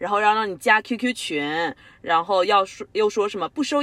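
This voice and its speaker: The sound is dry and close, with no echo. A woman talks at a moderate pace, her pitch swinging very widely. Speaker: podcast co-host. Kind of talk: casual chat.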